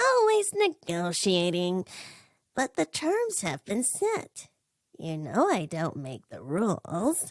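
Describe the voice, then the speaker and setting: A female-sounding, put-on character voice comes through at a middle pitch. The pace is fairly slow. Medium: read story. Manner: pompous, gloating.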